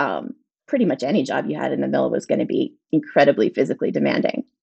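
Speaking at a fairly quick pace, a woman's voice carries vocal fry. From Springdale, Pittsburgh area. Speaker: food writer. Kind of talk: casual interview.

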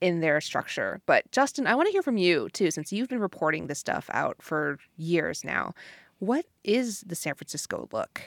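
The recording is very clean with a silent background and a dry, close sound with no echo. A woman speaks at a moderate pace. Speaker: podcast co-host. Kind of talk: casual chat.

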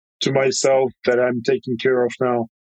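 With a Russian accent, a man speaks at a fairly slow pace in a dry, close sound with no echo. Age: 30s. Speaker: bike company founder. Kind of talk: interview. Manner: halting.

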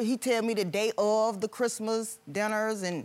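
Speaking fairly slowly, a woman uses a fairly high pitch with ordinary pitch variation in a very clean recording with a silent background. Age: 50s. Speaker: litigant, hospital worker. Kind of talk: courtroom testimony. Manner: agitated.

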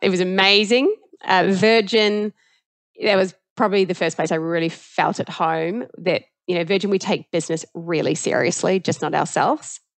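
Over a quiet background, a woman with a New Zealand accent speaks at a medium pitch and a moderate pace, with ordinary pitch variation. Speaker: tech company CEO. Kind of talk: interview. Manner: casual.

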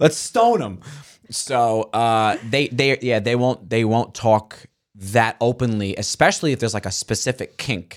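With a New York accent, a man speaks at a fairly slow pace and a medium pitch with fairly even intonation, on a very clean recording with a silent background. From Staten Island, New York. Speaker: comedian. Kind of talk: casual chat. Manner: halting.

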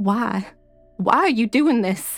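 Using a put-on character voice, a woman speaks slowly at a fairly high pitch with lively intonation as faint music plays in the background.

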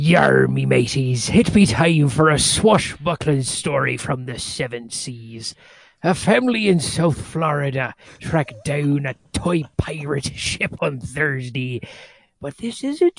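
A put-on character voice speaks at a fairly slow pace in a low-to-middle pitch. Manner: swashbuckling.

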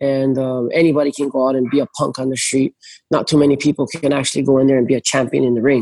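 Talking very fast, a man uses a medium pitch and a dark, mellow tone with monotone, flat intonation. The sound is dry and close, with no echo. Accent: Hawaiian. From Hawaii, North Shore of Oahu. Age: 30s. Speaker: big wave surfer. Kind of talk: casual chat.

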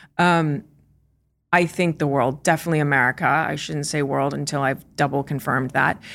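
A woman speaks fairly quickly with a very deep, low pitch, vocal fry and fairly even intonation. The recording is very clean, with a silent background. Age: 40s. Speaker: company founder. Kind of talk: interview. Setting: studio.

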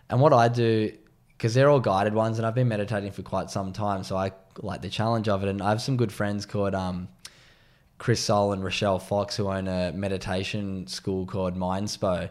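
In an Australian accent, a man talks at a fairly quick pace with a fairly low pitch, on a very clean recording with a silent background. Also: fairly even intonation. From Australia, Sydney's northern beaches. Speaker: former pro surfer, mental health advocate. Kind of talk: casual interview chat.

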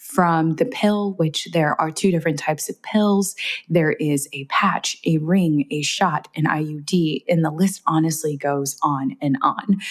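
With hardly any pauses, a woman speaks at a fairly slow pace in a very deep, low voice with ordinary pitch variation. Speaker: menstrual health educator. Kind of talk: casual interview chat.

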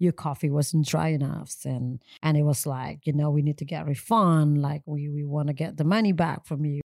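In an Indonesian accent, a woman with a very deep, low voice and a dark, mellow tone speaks at a fairly quick pace with fairly even intonation, recorded very cleanly, dry and close with no echo against a silent background. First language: Indonesian or Balinese. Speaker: coffee entrepreneur. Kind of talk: interview.

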